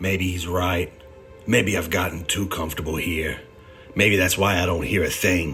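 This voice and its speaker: Over clear background music, a man does a put-on character voice, gruff and raspy with a very deep, low pitch. He delivers it at a moderate pace. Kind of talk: hard-boiled voice-over. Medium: audio drama. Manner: gruff, terse, tough-talking.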